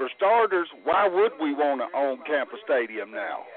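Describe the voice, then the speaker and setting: A man is speaking. Background noise can be clearly heard. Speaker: caller, football fan. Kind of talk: call-in sports talk. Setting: phone call.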